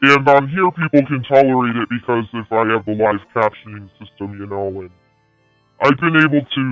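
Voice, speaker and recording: Music plays in the background as a man speaks. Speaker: live streamer. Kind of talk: casual livestream monologue. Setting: live stream.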